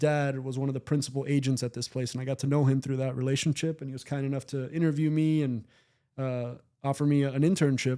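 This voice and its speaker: A man's dark, mellow tone with a Spanish accent, fairly high in pitch, at a fairly quick pace. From Miami, Cuban-American family. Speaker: former baseball executive and scout. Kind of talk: podcast interview. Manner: casual, with frequent fillers and restarts.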